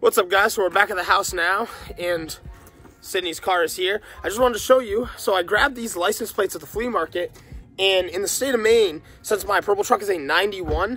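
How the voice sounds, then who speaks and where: A man speaks at a fairly quick pace in a raised, projected voice with ordinary pitch variation, the sound dry with no echo and faint music in the background. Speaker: car vlogger. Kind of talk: casual vlog chat. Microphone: phone near.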